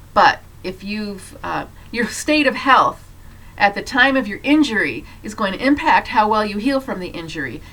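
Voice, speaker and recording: Fairly high in pitch, a woman talks at a moderate pace with lively intonation and big swings in loudness. Noticeable background noise runs behind her. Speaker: health educator, doctor. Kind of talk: health talk to camera.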